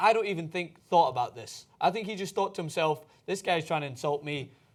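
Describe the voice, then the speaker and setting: A man with a Scottish accent, fairly high-pitched and animated, talking very fast with lively intonation. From Scotland. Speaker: sports show co-host. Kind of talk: casual chat.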